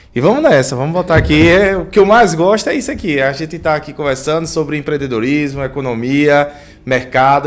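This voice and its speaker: A man's speech moves fairly quickly, and his pitch varies in an ordinary way. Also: hardly any pauses. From Paulo Afonso, Bahia, northeastern Brazil. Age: 30s. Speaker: entrepreneur and local official. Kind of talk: interview.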